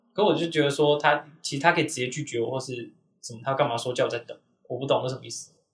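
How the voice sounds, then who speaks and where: A man's fairly high, somewhat breathy voice at a very fast pace, with big swings in loudness and fairly even intonation. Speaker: podcast host. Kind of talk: casual chat.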